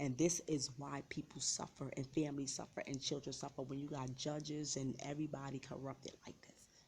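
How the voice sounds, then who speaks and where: A woman speaks fairly quickly with hardly any pauses, her very deep, low voice dark, mellow and somewhat breathy. Her intonation is monotone and flat, while her loudness swings widely. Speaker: vlogger sharing personal story. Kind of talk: personal testimony.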